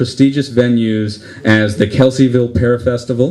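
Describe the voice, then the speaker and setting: Against noticeable background noise, a man with a medium pitch speaks with fairly even intonation. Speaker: comedy show emcee. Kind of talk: comedian introduction.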